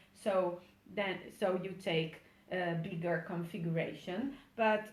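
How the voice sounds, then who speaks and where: Speaking in an Italian accent, a woman has a medium-pitched, somewhat breathy voice with fairly even intonation. Her pace is fairly slow, and room echo is audible. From Italy. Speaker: micropigmentation trainer, former tattoo artist. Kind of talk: webinar tutorial. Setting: online webinar. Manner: halting, with many fillers.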